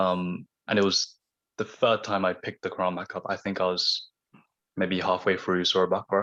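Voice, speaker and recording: In a quiet setting, the man talks with a fairly low voice. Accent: southern English. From southern England, Surrey. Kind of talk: radio interview.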